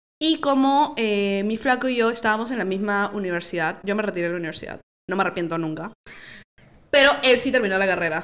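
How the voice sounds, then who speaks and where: Very fast speech from a woman at a medium pitch. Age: 20s. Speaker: podcast guest. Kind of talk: casual chat.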